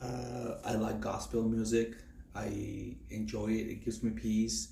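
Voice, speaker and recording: In a Spanish accent, a man speaks at a very slow pace with audible room echo. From Mexico, Durango. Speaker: nursing student. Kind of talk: class self-introduction. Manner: halting, many fillers.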